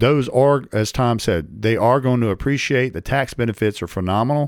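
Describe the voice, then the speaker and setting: A man with a plain, everyday voice speaks at a medium pitch and a moderate pace. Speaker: real estate podcast host. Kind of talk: casual chat. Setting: studio.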